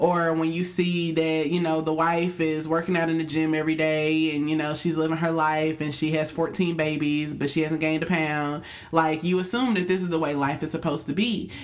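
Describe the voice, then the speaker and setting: A woman with a very deep, low pitch, flat monotone intonation, very even loudness and a fairly quick pace with hardly any pauses, amid noticeable background noise and audible room echo. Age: young. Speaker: podcast co-host, teacher. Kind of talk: casual chat.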